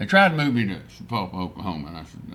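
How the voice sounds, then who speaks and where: A man with a West Texas accent speaks with audible room echo. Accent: West Texas drawl. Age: 70s. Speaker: rancher and oil businessman. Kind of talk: casual interview chat. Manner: halting, full of fillers and restarts.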